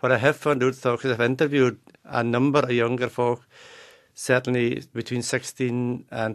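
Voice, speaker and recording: Against a quiet background, the voice stays in a monotone, flat intonation. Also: man. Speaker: dialect researcher. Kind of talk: radio interview answer.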